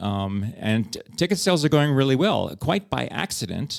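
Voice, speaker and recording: A man speaks with a New York accent. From New York City, the Bronx. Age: 60s. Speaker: theatre director and actor. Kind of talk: interview conversation.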